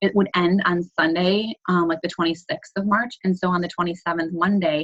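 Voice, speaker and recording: A woman with an American accent, somewhat breathy, at medium pitch, monotone and flat, at a very fast pace. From New York. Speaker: fitness team coach. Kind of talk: team conference call briefing. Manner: casual, filler-heavy.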